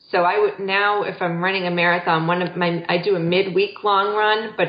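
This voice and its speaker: A woman speaks in an ordinary speaking voice with fairly low pitch. Her pace is moderate and her intonation fairly even. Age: 40s. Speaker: marathon runner and mother. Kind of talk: interview.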